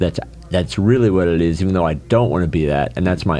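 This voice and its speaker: Over noticeable background noise, a man talks in a very deep, low voice. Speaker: leadership coach. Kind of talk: podcast interview. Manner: forceful; halting, many fillers.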